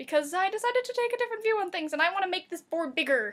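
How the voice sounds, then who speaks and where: Her pitch swings very widely as a woman speaks at a very fast pace in an animated tone. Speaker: vlogger. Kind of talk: casual vlog monologue. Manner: rambling, animated.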